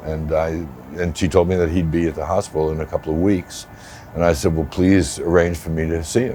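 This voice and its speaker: Very deep, low male voice, moderate tempo, noticeable noise in the background. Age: 70s. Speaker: patient, actor and producer. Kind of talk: personal testimony interview.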